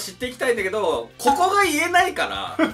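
A man talking at a fairly quick pace over faint music in the background. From Tokyo, Japan. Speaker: YouTube comedy duo member. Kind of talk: casual talk to camera. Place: studio.

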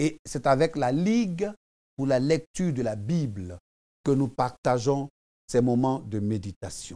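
Against a quiet background, a man talks at a very slow pace with long, frequent pauses. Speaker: preacher. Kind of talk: devotional sermon, preaching and prayer. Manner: earnest, fervent, exhortative, addressing the viewer as 'tu'. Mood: calm, devotional. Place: studio.

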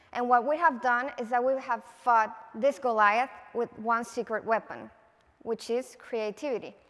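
A high-pitched woman with a Spanish accent, fairly even intonation and a fairly slow pace. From Venezuela. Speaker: political advertising creative; conference speaker. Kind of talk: conference talk. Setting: stage with audience. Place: stage. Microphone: headset.

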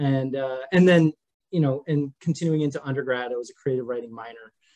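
Against a quiet background, a man with an American accent speaks at a moderate pace. His pitch is medium, with ordinary variation. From US Midwest, rural Minnesota. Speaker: game writer; podcast guest. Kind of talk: casual chat. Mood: relaxed, warm, smiling. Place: home room. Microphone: webcam.

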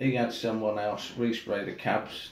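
A fairly low-pitched, somewhat breathy man speaking fairly slowly, with audible room echo and light background noise. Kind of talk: tutorial. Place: home room.

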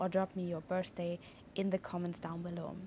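A woman speaks in a fairly low, somewhat breathy voice with a dark, mellow tone. Her intonation is monotone and flat, with light background noise behind her. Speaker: numerology teacher. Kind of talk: tutorial. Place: garden. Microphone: lapel.

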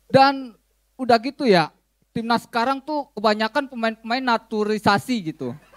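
Someone with a Jakarta accent speaks at a moderate pace with ordinary pitch variation against a quiet background. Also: man, extremely high pitch for a man. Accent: Jakarta Betawi-flavored Indonesian. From Jakarta, Indonesia. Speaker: stand-up comedian. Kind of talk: stand-up comedy. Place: cafe. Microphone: handheld.

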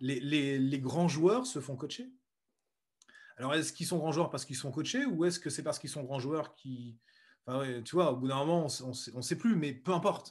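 In a quiet setting, a man with a fairly high pitch and a somewhat breathy voice speaks at a moderate pace with ordinary pitch variation. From central France (Berry, Bourges); France. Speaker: speed skier and entrepreneur; interview guest. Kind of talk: interview. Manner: hesitant, with many repetitions. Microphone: video call.

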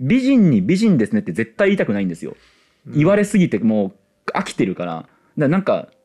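Against a quiet background, a man talks at a very fast pace with a fairly high pitch. His tone is dark and mellow, and his pitch swings very widely. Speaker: podcast co-host. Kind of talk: live audience recording, casual chat. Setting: public recording with small audience. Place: studio. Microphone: headset.

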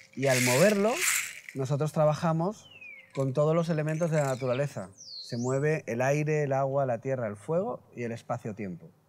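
Against light background noise, a man talks at a moderate pace with lively intonation. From Spain, Elche (Valencia region). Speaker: shaman and healer. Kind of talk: interview. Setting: at his home. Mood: calm, earnest. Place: garden.

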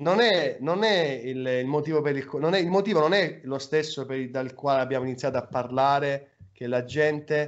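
A man's unremarkable speaking voice, fairly high in pitch, at a moderate pace with ordinary pitch variation, over a quiet background. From Apulia, Salento (San Michele Salentino); Apulia. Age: 30s. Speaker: web radio host. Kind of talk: casual chat. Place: home room. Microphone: video call.

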